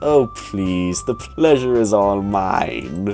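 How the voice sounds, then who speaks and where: A put-on character voice speaks in a low pitch at a very slow pace. Clear music plays in the background. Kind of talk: polite, refined. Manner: courtly, gracious.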